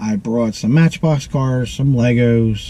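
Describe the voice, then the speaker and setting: Noticeable background noise sits behind a man whose medium pitch shows ordinary variation. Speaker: auctioneer and vlogger. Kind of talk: casual talk to camera. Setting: outdoors at a tailgate auction.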